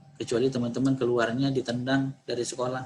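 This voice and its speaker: The speaker is a man. His pitch is medium. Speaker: university lecturer briefing students. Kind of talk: briefing Q&A session. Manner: halting with many fillers.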